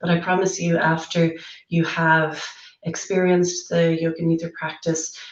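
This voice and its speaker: At a moderate pace, a woman with a fairly low pitch speaks over noticeable background noise. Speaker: yoga nidra guide. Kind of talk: casual welcome talk to camera. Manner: friendly, conversational.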